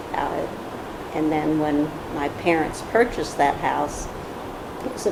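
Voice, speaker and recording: At a moderate pace, a woman speaks in a very deep, low voice amid noticeable background noise and audible room echo. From US, military family, moved often. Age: 60s. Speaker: honored mother, interviewee. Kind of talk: oral history interview.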